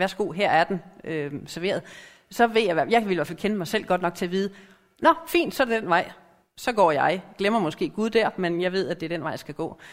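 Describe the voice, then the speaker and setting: A woman speaks at a moderate pace and medium pitch. Her pitch varies in an ordinary way. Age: middle-aged. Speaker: lay preacher. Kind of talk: sermon.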